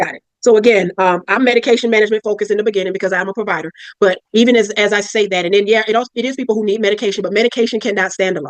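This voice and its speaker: A woman at medium pitch, very fast and with hardly any pauses, in a dry, close sound with no echo. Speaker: psychiatric nurse practitioner. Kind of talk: interview. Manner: loud.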